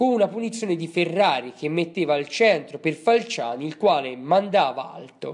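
A man with a plain, everyday voice speaks at a fairly high pitch. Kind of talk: sports commentary. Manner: formal, steady play-by-play recap in past tense; brisk, matter-of-fact, reading off minute-by-minute events.

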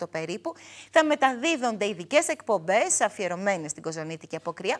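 A woman speaks at a moderate pace with very wide pitch swings against a quiet background. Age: 30s. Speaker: TV show host. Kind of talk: studio show presenting. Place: studio. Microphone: lapel.

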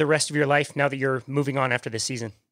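Words come from a man at a rapid clip. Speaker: podcast host. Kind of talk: casual interview. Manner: enthusiastic.

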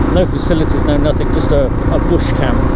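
Speech at a moderate pace sounds dry with no echo, over loud background noise. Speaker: motorbike rider vlogger. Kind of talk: casual vlog chat. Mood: relaxed storytelling. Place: motorbike. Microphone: helmet.

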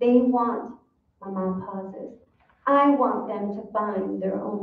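Around the voice, all is quiet. The reading aloud is plain, with pitch varying in an ordinary way.

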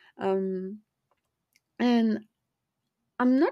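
In a very clean recording with a silent background, the voice carries a French accent and ordinary pitch variation. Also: woman. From France. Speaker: podcast host. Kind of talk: personal monologue.

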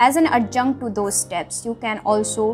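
It is a woman who talks. Behind her, music is clearly audible. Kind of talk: motivational talk. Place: home room. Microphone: webcam.

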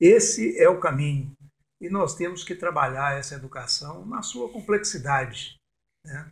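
A man's normal speaking voice, fairly high in pitch, with lively intonation, big swings in loudness and a fairly slow pace, in a very clean recording with a silent background. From Brazil, Jequitinhonha Valley, Minas Gerais. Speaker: cultural producer and storyteller. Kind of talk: interview.

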